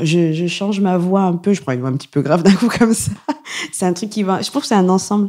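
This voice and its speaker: A woman with a medium pitch, very fast pace, animated tone and ordinary pitch variation. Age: 30s. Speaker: stand-up comedian. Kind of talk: casual chat.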